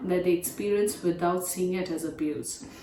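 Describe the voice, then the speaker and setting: A woman with an Indian accent, medium pitch, ordinary pitch variation and a moderate pace, amid audible room echo and noticeable background noise. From India, New Delhi. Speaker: domestic violence advocate, operations manager. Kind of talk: prepared remarks.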